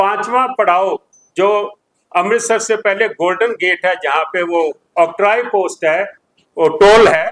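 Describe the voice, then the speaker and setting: Recorded dry and close with no echo, a man speaks in a high pitch with ordinary pitch variation. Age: 60s. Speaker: community religious leader. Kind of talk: press conference. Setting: press conference.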